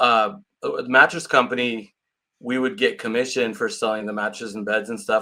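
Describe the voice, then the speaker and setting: A man with a Californian accent, medium pitch and a bright, sharp tone, at a fairly quick pace on a very clean recording with a silent background. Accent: Californian American. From California, Santa Cruz area. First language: Portuguese. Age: 50s. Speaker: real estate agent. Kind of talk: interview.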